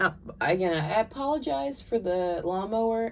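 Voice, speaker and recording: Woman with an American accent, medium pitch and very wide pitch swings. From US South. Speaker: tarot and oracle card reader. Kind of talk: oracle card reading monologue. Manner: casual, filler-heavy.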